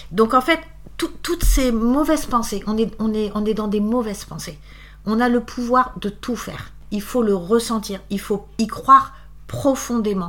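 A woman with a fairly high pitch and ordinary pitch variation speaks at a fairly slow pace. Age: 50s. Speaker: interviewee sharing life story. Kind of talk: personal testimony interview. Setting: at the guest's home.

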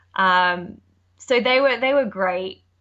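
With an Australian accent, a woman speaks at a moderate pace with ordinary pitch variation. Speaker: nanny. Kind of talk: casual interview chat.

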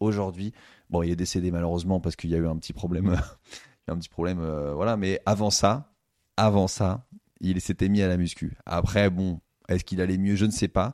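Against a quiet background, a man with a very deep, low, dark and mellow voice speaks at a fairly quick pace with fairly even intonation and long, frequent pauses, the sound dry and close with no echo. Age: 30s. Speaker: stand-up comedian. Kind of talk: casual chat.

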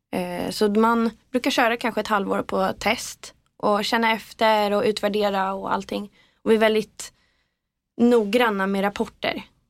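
On a very clean recording with a silent background, a woman speaks at a moderate pace in a fairly high pitch with monotone, flat intonation. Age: 20s. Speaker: PR agency co-founder. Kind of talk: interview. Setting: podcast studio.

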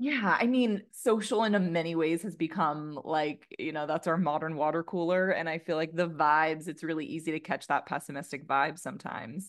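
Against a quiet background, a woman with a plain, everyday voice speaks at a fairly quick pace with hardly any pauses, her fairly low pitch showing ordinary variation. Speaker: strategy team member. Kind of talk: casual chat.

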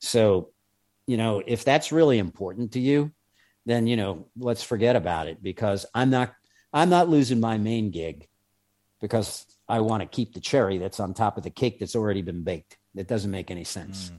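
Over a quiet background, a speaker with an American accent talks at a moderate pace, with a dark, mellow tone and lively intonation. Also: man, fairly low pitch for a man. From New York. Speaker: former undercover federal agent. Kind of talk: interview storytelling.

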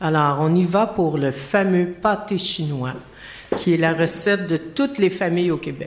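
A woman with a Quebec accent speaks fairly slowly at a fairly low pitch with ordinary pitch variation, against noticeable background noise. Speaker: guest cook explaining a Quebec recipe. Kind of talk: casual chat.

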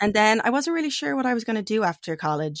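A woman speaks with a Dublin accent on a very clean recording with a silent background. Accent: Dublin Irish. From Ireland, Dublin. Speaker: guest living off-grid. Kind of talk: casual interview chat.

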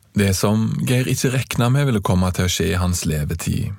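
A man at a moderate pace with lively intonation amid noticeable background noise. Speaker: podcast host and narrator. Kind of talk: scripted narration.

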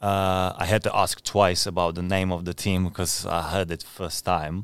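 Speaking with a Czech accent at a moderate pace, a man with a very deep, low pitch keeps his intonation fairly even on a very clean recording with a silent background. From Czech Republic. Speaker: professional footballer, goalkeeper. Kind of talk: casual interview chat. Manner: halting, hesitant with fillers.

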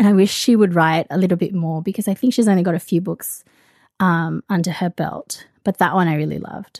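Speaking at a fairly quick pace with an Australian accent, a woman uses medium pitch and ordinary pitch variation, recorded with a dry, close sound with no echo against a quiet background. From Australia (from early teens), born in the Philippines. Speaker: romance book blogger and podcaster. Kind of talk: casual chat.

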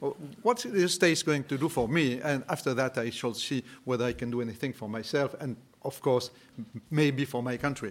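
Speaking at a fairly quick pace with a French accent, a man uses a medium pitch and ordinary pitch variation. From France. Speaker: entrepreneur. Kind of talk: panel discussion.

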